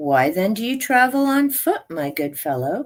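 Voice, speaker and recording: A put-on character voice at a fairly high pitch, swinging very widely up and down. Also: female-sounding voice, moderate pace. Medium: read story.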